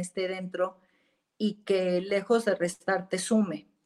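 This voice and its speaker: Very slow speech from a woman with a Mexican accent. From Mexico (Jalisco). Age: 40s. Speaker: businesswoman in luxury sector. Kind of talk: interview.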